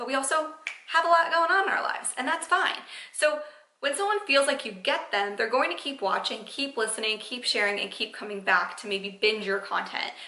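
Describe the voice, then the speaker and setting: An energetic, raised and projected voice at a fairly quick pace with very wide pitch swings and noticeable background noise. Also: woman, high pitch for a woman. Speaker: podcast host, social media marketing coach. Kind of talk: solo podcast talk, advice. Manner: fast; casual, energetic.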